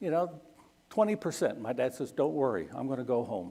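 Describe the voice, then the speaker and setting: On a very clean recording with a silent background, a man with an American accent speaks with vocal fry and a dark, mellow tone. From United States, left at age eleven. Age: 50s. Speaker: missionary. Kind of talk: Sunday school talk with Q&A. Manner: conversational, frequent okay tags.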